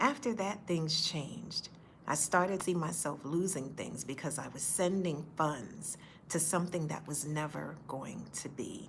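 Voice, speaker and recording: Amid audible room echo, a woman speaks at a moderate pace with a very deep, low pitch and ordinary pitch variation. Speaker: faith-based speaker sharing personal story. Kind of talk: personal testimony. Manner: occasional stutter; earnest, direct.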